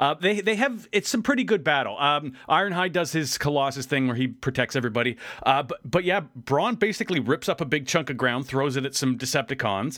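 Over a very clean recording with a silent background, a man with an unremarkable speaking voice and a fairly high pitch talks at a fairly quick pace with lively intonation and hardly any pauses. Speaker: podcast host. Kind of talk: casual chat. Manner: joking.

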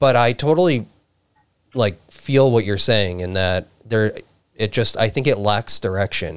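In an unremarkable speaking voice, a man of medium pitch talks at a fairly slow pace with ordinary pitch variation. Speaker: podcast host. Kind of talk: casual chat.

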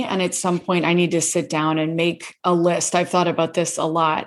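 In an American accent, a woman with a plain, everyday voice speaks at a moderate pace and a fairly low pitch on a very clean recording with a silent background. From US South, Gainesville, Florida. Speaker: author and public speaking coach. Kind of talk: casual interview.

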